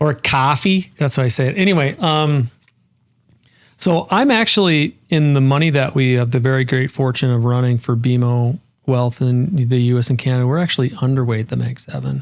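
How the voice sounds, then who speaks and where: A man speaks at a moderate pace in a medium pitch, with ordinary pitch variation and very even loudness. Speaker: investment strategist. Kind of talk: interview. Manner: animated.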